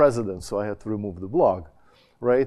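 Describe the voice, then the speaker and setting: A man with a Russian accent talks at a very fast pace. His tone is dark and mellow, with ordinary pitch variation. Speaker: education scholar, former college dean. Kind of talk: conference panel talk. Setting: conference panel with audience. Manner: halting, many fillers and restarts.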